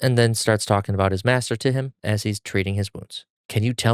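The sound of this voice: Against a quiet background, someone reads in an unforced voice.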